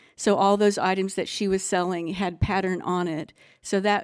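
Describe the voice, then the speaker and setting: A woman's voice at medium pitch. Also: very clean recording, silent background. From Arkansas. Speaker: artist. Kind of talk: artist talk presentation. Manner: halting, many fillers.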